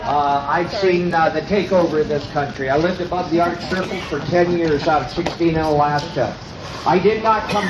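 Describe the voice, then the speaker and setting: A man speaks at a fairly high pitch. Noticeable background noise and audible room echo surround him. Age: 70s. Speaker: rally speaker. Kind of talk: protest speech. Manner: halting.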